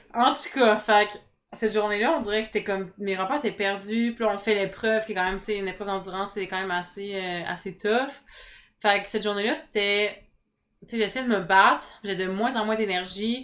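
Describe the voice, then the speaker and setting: A woman speaks at a medium pitch and a fairly quick pace, with fairly even intonation. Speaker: reality TV contestant. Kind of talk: interview. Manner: fast.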